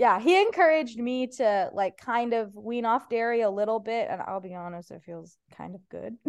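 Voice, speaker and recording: With a Midwestern accent, a woman speaks at a moderate pace and fairly high pitch, her intonation lively, her loudness swinging widely and her pauses few. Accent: general Midwestern American. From US Midwest. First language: Persian. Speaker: stand-up comedian. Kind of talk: casual chat. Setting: video call.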